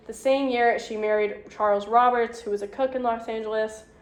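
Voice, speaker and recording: Talking very fast with fairly even intonation, a woman's fairly high voice carries audible room echo. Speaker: lecturer. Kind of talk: lecture.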